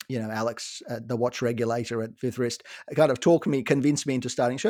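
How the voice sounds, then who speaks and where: A dark, mellow tone delivered at a very fast pace. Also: man. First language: not English. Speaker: watch podcaster.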